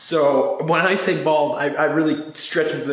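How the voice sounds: A man speaks in a raspy, fairly bright voice at a fairly high pitch, with audible room echo around him.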